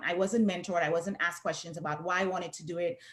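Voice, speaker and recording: A woman with a Saint Lucian accent. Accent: Saint Lucian Caribbean. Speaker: professor and researcher. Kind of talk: panel discussion.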